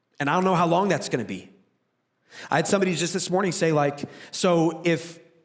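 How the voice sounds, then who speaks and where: A man talks at a very fast pace with a fairly high pitch. Room echo is audible. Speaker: pastor. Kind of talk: sermon.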